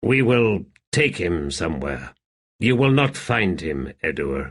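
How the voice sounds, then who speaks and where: Putting on a character voice, a man speaks with a raspy, very deep, low pitch. His pitch swings very widely at a fairly slow pace. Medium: read story.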